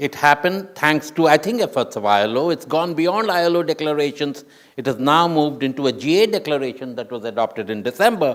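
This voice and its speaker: With lively intonation and a fairly quick pace, a man talks in an unremarkable speaking voice pitched fairly high. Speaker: UN official panelist. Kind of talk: panel discussion.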